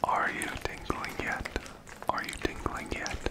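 Whispering at a fairly slow pace, a soft-spoken man delivers his words. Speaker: ASMR creator. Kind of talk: ASMR whisper. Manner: soft close-mic ASMR whisper. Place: home room. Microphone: studio mic.

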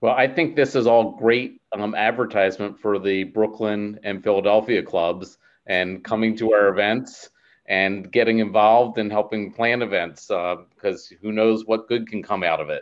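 A man's unremarkable speaking voice, fairly low in pitch, with fairly even intonation at a moderate pace. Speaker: alumni club president, moderator. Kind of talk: panel moderation.

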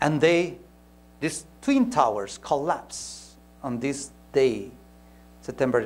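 This man talks at a fairly slow pace with a Spanish accent. His intonation is lively, and vocal fry comes through. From Peru. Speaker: pastor; preacher or speaker. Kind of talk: sermon. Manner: halting, with frequent repetitions. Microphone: lapel.

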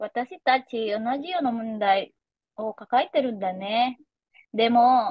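Woman, high-pitched, with lively intonation and a fairly slow pace, dry sound with no echo and a quiet background. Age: 20s. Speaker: language learner. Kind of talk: scripted conversation practice. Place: home room. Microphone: video call.

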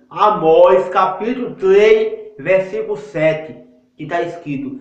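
A man's high voice at a very slow pace, with audible room echo against a quiet background. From Northeast Brazil, Paraíba; Northeast Brazil. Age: 20s. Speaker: lay evangelist YouTuber; self-styled preacher vlogger. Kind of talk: religious monologue; informal sermon-style vlog talk. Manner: halting. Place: bathroom. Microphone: phone near.

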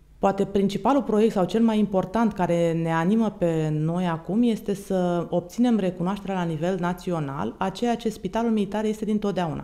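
Against a quiet background, a dark, mellow voice flows with hardly any pauses and ordinary pitch variation. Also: woman, moderate pace. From Romania. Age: 40s. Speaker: military doctor, hospital commander. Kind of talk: interview. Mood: formal, composed. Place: office. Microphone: studio mic.

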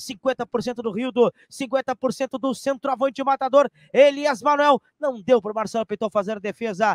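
A man's extremely high-pitched, fairly slow speech with hardly any pauses and ordinary pitch variation, dry with no echo over a quiet background. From Brazil. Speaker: sports commentator. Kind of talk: live sports commentary. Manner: excitable, loud. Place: home room. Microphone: studio mic.

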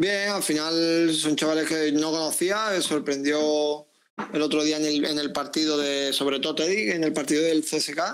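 Speaking in an Andalusian accent, a man keeps a moderate pace and very even loudness at a fairly high pitch against a quiet background. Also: fairly even intonation. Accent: Andalusian (Seville), kept. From Seville, Andalusia. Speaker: footballer; guest. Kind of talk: interview. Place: home room. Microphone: earbuds.

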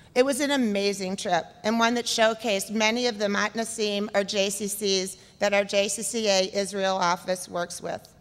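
A woman speaks at a moderate pace with hardly any pauses. Her intonation stays fairly even. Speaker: award recipient; conference presenter. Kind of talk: acceptance speech. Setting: stage with audience. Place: hall. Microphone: podium.

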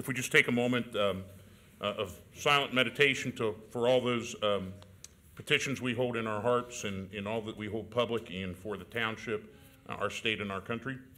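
A man at a moderate pace with a bright, sharp tone and fairly even intonation. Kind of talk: formal meeting chairing. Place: hall. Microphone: podium.

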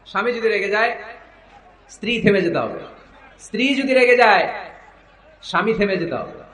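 A high-pitched male voice with fairly even intonation amid noticeable background noise. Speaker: Islamic preacher. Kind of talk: religious sermon. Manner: rhetorical, addressing audience.

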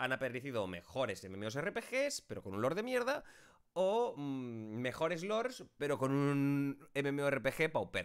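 Over a quiet background, a man with a fairly high pitch speaks at a very slow pace with very wide pitch swings. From Spain. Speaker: YouTuber and streamer; YouTuber, streamer. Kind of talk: casual talk to camera, answering viewer questions. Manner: chatty, long-winded. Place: home room.

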